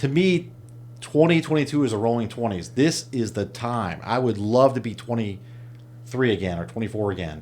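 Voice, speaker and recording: The speaker has a normal speaking voice. Intonation is lively and the pace is moderate. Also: man, medium pitch for a man. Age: 50s. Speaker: entrepreneur. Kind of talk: casual chat.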